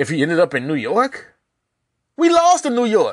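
Against a quiet background, a man talks in an animated tone. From Arkansas. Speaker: sports podcast host. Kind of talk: casual sports commentary monologue.

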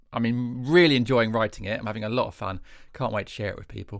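A man with an English accent is heard on a very clean recording with a silent background. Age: 30s. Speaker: comedian and podcast co-host. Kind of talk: casual chat.

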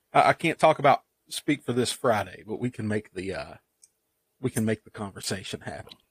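Somewhat breathy and fairly quick, a man speaks at a medium pitch with lively intonation. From Eastern Kentucky. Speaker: podcast co-host. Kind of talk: casual chat.

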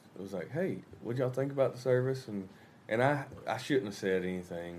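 Here a man speaks with a Southern US accent. His pitch is medium, with ordinary pitch variation. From US South. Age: 20s. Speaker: rock band musician. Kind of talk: casual chat. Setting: hotel room.

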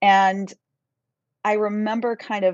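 A woman speaks with a Midwestern American accent. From central Kansas. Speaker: university music professor and conductor. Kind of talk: casual interview. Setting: live video stream.

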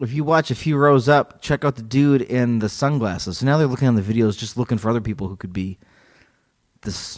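A man talks at a moderate pace and a medium pitch, with ordinary pitch variation. It is an unremarkable speaking voice. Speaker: podcast host. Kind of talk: casual comedic chat, reading quotes aloud. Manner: joking, playful.

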